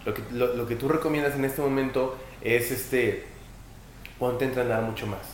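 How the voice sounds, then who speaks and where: A man speaks at medium pitch in a flat, monotone way, with long, frequent pauses. The room echo is audible, and background noise is noticeable. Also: moderate pace. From Mexico, Puebla. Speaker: podcast host, volleyball player. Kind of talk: casual interview. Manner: halting, repeats words.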